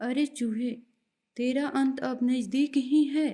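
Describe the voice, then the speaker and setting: Growling put-on character voice from a woman, high in pitch, at a fairly slow pace. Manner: growling, threatening.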